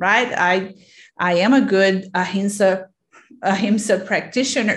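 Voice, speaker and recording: With a Portuguese accent, the speaker uses a somewhat breathy voice at a fairly slow pace with ordinary pitch variation. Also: woman. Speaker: podcast host and yoga teacher. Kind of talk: interview.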